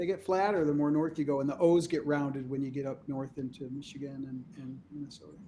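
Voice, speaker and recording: Someone with an American accent speaks very fast, with hardly any pauses. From Chicago, south side. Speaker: podcast co-host. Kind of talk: casual chat.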